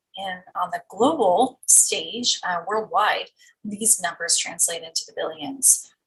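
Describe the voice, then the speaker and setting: A woman talks at a very slow pace. Her fairly high voice carries lively intonation. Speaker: pediatric anesthesiologist. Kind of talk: recorded lecture.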